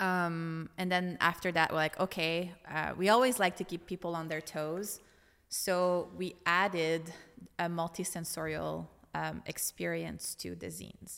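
A woman with a Franco-Ontarian accent, a fairly low pitch, fairly even intonation, and a fairly slow pace. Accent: Franco-Ontarian Canadian English. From eastern Ontario, Franco-Ontarian small town. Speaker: brand designer. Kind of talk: casual interview chat. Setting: studio.

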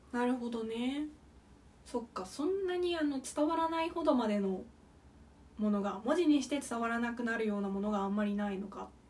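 A woman speaks at a fairly quick pace with a high pitch and lively intonation. Room echo is audible. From Okayama, Japan. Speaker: podcast co-host. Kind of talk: casual chat.

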